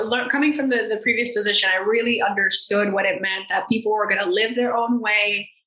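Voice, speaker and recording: This woman has a normal speaking voice with an American accent, fairly high pitch and ordinary pitch variation. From Miami, Florida. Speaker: marketing agency founder. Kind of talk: casual interview chat.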